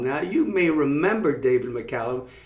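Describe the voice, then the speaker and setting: With a slight Long Island accent, a man speaks at a fairly high pitch. His intonation is lively and his pace moderate. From Long Island, New York. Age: 60s. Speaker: life coach. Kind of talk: storytelling broadcast.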